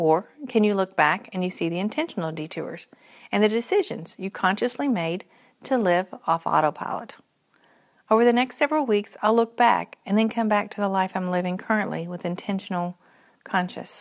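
A woman speaks in a Kentucky accent. The recording is very clean, with a silent background. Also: medium pitch for a woman, ordinary pitch variation, moderate pace. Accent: Kentucky Southern US. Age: 40s. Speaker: podcaster. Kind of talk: personal reflective monologue.

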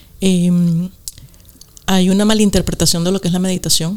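Her fairly low voice moving at a moderate pace, a woman is heard with noticeable background noise. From Venezuela. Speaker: podcast co-host, meditation guide. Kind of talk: casual chat.

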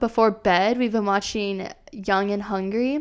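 With an American accent, a woman speaks at a fairly high pitch with ordinary pitch variation on a very clean recording with a silent background. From Iowa, US Midwest. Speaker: podcast co-host, marketing-trained entrepreneur. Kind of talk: casual chat. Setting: studio microphone.

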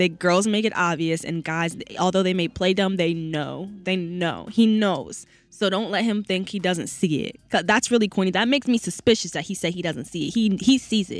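A normal speaking voice moves at a moderate pace with hardly any pauses and ordinary pitch variation. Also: woman, medium pitch for a woman. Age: 20s. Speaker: college radio host. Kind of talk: casual chat; news reading. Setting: radio studio.

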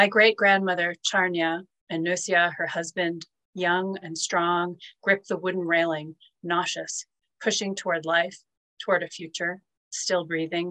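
A woman talks at a fairly slow pace in a fairly low pitch, with a bright, sharp tone and monotone, flat intonation. The sound is dry and close with no echo. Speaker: poetry series curator and host. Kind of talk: poetry reading event introduction and Q&A. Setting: video call.

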